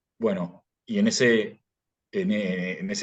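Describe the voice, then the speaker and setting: A man with a Rioplatense accent speaks with very wide pitch swings. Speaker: philosophy graduate. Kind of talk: interview. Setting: podcast. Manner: halting, many repetitions and fillers; casual storytelling.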